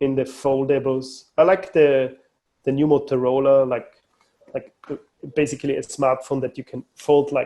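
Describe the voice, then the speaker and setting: Talking with an Austrian accent, a man has a fairly high voice with a dark, mellow tone. His intonation is monotone and flat, at a moderate pace. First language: German. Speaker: mobile phone company manager. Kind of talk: podcast interview. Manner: halting, many repetitions.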